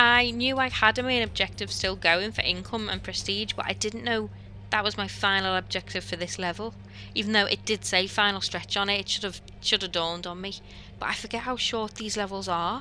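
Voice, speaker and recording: A woman's bright, sharp voice at medium pitch, with vocal fry and a fairly quick pace. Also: ordinary pitch variation. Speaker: recently qualified marine biologist. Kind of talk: gameplay commentary voiceover.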